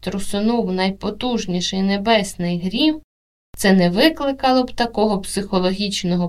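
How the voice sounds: A natural reading voice with ordinary pitch variation is heard against a quiet background.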